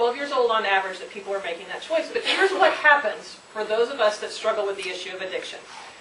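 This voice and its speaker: A woman with a fairly high pitch talks at a very fast pace with lively intonation, amid noticeable background noise and audible room echo. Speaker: state mental health official, speaker. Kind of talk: public talk with slides. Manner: gets louder and more passionate as talk goes on.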